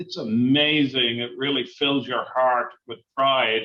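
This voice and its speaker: This is a man with an Irish accent. He speaks at a fairly slow pace. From Ireland, Dublin. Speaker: university chancellor and psychiatrist. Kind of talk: interview.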